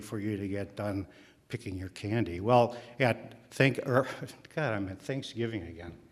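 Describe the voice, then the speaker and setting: A man talks at a moderate pace with an Upper Midwest accent. His intonation is fairly even. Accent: Upper Midwest American. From Milwaukee, Wisconsin, US Midwest. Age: 70s. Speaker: storyteller. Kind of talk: live storytelling. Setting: stage with audience. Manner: halting, many fillers.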